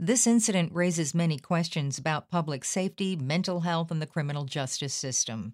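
A woman with a fairly low pitch talks at a fairly quick pace in an unremarkable speaking voice, with lively intonation and hardly any pauses. The recording is very clean, with a silent background. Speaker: news podcast host. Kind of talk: news bulletin reading. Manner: formal; measured, somber newsreader delivery.

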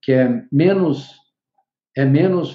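Here a man talks with ordinary pitch variation. His voice is somewhat breathy. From São Paulo state, Brazil (city and interior). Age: 70s. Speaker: economist. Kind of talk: interview.

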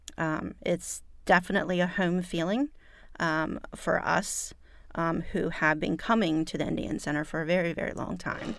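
On a very clean recording with a silent background, a woman speaks in a normal speaking voice, fairly low in pitch, at a moderate pace. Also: ordinary pitch variation. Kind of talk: casual interview chat.

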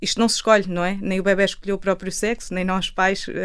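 Pitched at a medium level, a woman's voice moves at a fairly quick pace. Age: 30s. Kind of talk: panel discussion. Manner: halting.

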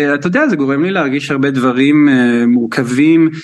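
Moderate pace with ordinary pitch variation. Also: man. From Israel. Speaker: choreographer. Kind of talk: radio interview. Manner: halting.

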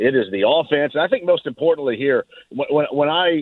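A man talks in a normal speaking voice at a fairly quick pace, fairly high in pitch with ordinary variation. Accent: American. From Southern Indiana, Greene County. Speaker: sports radio host. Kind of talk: radio sports talk.

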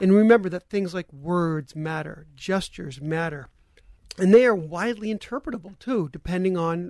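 A man talks at a moderate pace with a high pitch and ordinary pitch variation. The sound is dry and close, with no echo. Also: quiet background. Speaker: panel guest. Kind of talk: radio panel discussion. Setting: radio studio.

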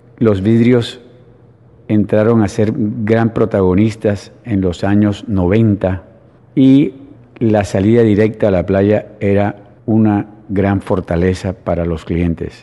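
The pace is very slow. Intonation stays fairly even. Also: man, fairly low pitch for a man. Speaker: real estate developer. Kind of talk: radio interview. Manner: halting, with frequent false starts.

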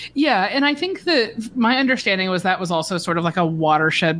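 Here is a woman with an American accent and a normal speaking voice, fairly low in pitch. She talks at a fairly quick pace with ordinary pitch variation. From US South, Georgia. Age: 30s. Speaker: journalist. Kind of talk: casual chat.

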